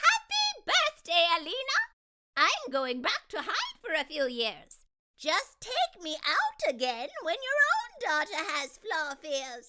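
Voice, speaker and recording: A put-on character voice at an extremely high pitch with very wide pitch swings. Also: fairly slow pace. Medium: read story. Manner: gentle, encouraging.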